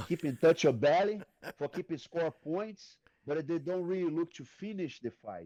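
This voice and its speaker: A man speaks at a high pitch and a moderate pace, his tone dark and mellow with ordinary pitch variation. The recording is very clean with a silent background, and the sound is dry and close with no echo. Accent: Brazilian. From Brazil. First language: Portuguese. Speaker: retired MMA fighter and jiu-jitsu coach. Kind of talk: podcast interview answer.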